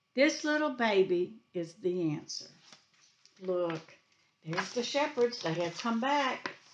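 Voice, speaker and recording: Very wide pitch swings mark the very slow speech, heard with light background noise. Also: woman, fairly high pitch for a woman. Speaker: preschool teacher. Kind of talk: storytelling to children. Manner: animated. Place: home room. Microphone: webcam.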